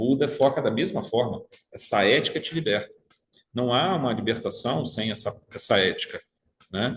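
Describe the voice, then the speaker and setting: A somewhat breathy, medium-pitched man at a moderate pace. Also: lively intonation. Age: 60s. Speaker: spiritist study group leader. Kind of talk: study group lecture. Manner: halting, many repetitions.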